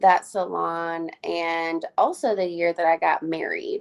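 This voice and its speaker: A woman speaks with a Southern US accent. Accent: US South. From Alabama. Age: 30s. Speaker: hairstylist. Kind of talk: casual chat.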